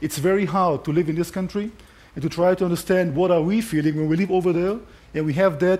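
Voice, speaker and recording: Here a man speaks with a non-native accent and a high pitch. His tone is dark and mellow, with fairly even intonation. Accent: foreign accent, noticeable. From Israel. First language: Hebrew. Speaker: conference speaker, tour guide and army officer. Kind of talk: conference talk. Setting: stage with audience at a conference.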